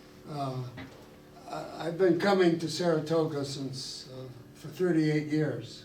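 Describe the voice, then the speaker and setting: A man's fairly high, fairly even voice at a fairly slow pace with long, frequent pauses, amid noticeable background noise and audible room echo. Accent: American. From Ohio, US Midwest. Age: old. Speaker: retired neurosurgeon. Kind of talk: public talk. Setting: room with live audience. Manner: halting.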